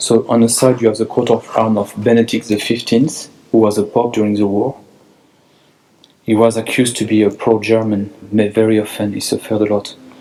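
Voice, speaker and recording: Delivered at a fairly quick pace with a French accent, the speech has monotone, flat intonation and very even loudness. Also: man, medium pitch for a man. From France. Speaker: church tour guide. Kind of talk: guided tour. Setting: inside a church. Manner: halting, with many fillers.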